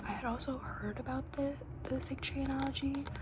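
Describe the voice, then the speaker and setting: Someone whispers over noticeable background noise. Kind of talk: ASMR book review talk to camera. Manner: whispered; casual, rambling.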